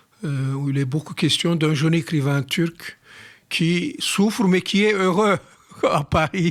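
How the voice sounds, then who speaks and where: Very slow delivery marked by long, frequent pauses and ordinary pitch variation. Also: man, high pitch for a man. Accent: Turkish. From Turkey (Istanbul). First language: Turkish (speaking French). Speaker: writer. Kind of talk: radio interview.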